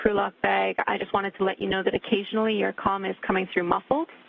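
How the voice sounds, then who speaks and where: Noticeable noise runs behind this woman. She talks very fast in a Canadian accent. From Canada. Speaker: astronaut, spacewalk communicator. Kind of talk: radio communications. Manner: clipped, procedural.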